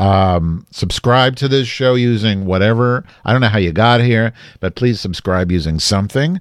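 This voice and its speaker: A man speaks in an animated tone at a moderate pace. His pitch sits fairly low, with ordinary variation. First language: English, not a Dutch speaker. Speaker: podcast host. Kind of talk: casual chat.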